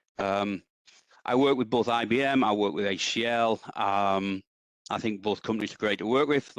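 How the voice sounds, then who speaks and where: With an English accent, the speaker keeps a moderate pace and fairly even intonation. The sound is dry and close with no echo, over a quiet background. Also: man. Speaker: database consultant. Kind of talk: technical presentation. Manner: hesitant, many ums.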